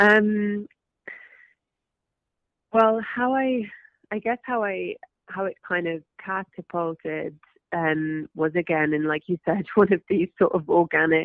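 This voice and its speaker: Speaking in a London accent, a woman talks at a very slow pace with long, frequent pauses, using lively intonation and a fairly low pitch. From West London, England. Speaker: actress. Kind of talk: interview answer.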